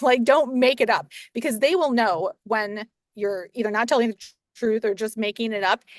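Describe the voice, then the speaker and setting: This is a woman's voice. Its pitch is fairly high. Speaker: real estate agent. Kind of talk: interview conversation. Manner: fast; animated.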